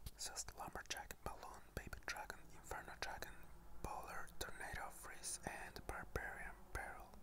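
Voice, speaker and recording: Someone is whispering at a moderate pace. Noticeable background noise is audible. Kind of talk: ASMR gaming commentary. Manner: whispered.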